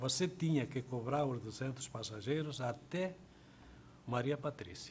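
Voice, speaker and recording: Speaking at a fairly slow pace, a man has a medium, somewhat breathy voice. His pitch variation is ordinary. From Spain. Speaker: retired tram conductor. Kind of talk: oral history interview.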